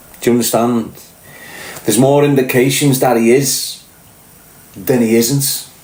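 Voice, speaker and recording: A man talks at a medium pitch with monotone, flat intonation and very even loudness, at a fairly slow pace with long, frequent pauses, amid audible room echo and noticeable background noise. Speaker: podcast host, former prisoner. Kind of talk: casual monologue commentary. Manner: pronounces words fully, finishes T's.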